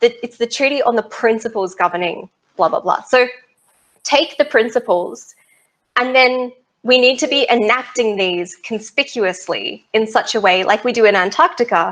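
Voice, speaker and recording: A high-pitched woman with an Australian accent speaks in an animated tone with lively intonation. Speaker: space law researcher. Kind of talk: interview.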